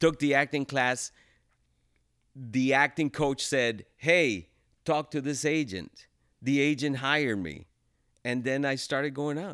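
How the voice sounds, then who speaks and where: At a fairly slow pace with long, frequent pauses, a man with a fairly high pitch and ordinary pitch variation is heard on a very clean recording with a silent background. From Los Angeles (Pico-Union), born in El Salvador. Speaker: actor and realtor. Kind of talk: casual interview chat.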